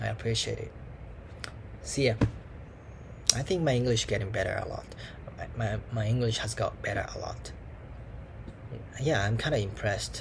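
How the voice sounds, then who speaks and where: At a moderate pace, a man talks amid audible room echo. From Japan. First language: Japanese. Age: 20s. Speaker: language student vlogger. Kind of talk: casual monologue vlog. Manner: halting, many fillers. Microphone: laptop mic.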